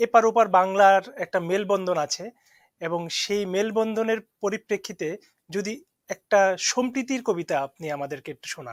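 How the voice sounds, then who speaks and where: Recorded very cleanly against a silent background, with a dry, close sound and no echo, a high-pitched man speaks with ordinary pitch variation and big swings in loudness. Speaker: talk show host. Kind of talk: interview. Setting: studio.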